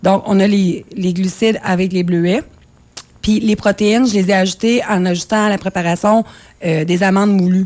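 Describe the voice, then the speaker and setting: A woman's ordinary speaking voice at medium pitch, with a moderate pace, very even loudness, and fairly even intonation. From Quebec. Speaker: cookbook author and nutrition coach; nutrition coach. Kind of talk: interview. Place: studio.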